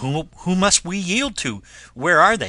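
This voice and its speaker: A man puts on a character voice, pitched high and swinging very widely in pitch, at a fairly slow pace. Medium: read story. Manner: hesitant.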